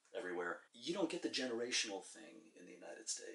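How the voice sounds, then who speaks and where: In a New York accent, a man talks at a very fast pace with lively intonation. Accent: New York American. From New York, US. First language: Czech. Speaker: interviewee. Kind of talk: interview. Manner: halting.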